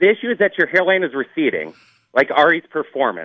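With lively intonation, this man speaks in a high pitch. His pace is moderate. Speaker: radio host reading written grievances. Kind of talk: reading aloud, comedic roast.

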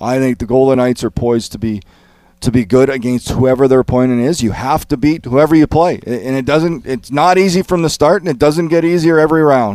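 In a very clean recording with a silent background, a man with a normal speaking voice and a medium pitch talks at a fairly quick pace with ordinary pitch variation. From Canada. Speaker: hockey analyst. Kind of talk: sports talk show.

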